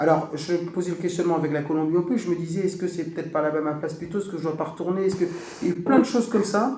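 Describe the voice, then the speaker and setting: There is noticeable background noise as a man with a high pitch talks very fast, his pitch varying in an ordinary way. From Brittany, northern Finistère. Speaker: music teacher and bombarde player. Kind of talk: casual chat.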